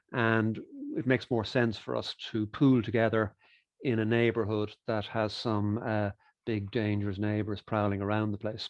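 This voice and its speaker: A man with an Irish accent, fairly low in pitch, monotone and flat, at a moderate pace. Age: 60s. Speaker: economist and author. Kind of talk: interview. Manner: hesitant fillers.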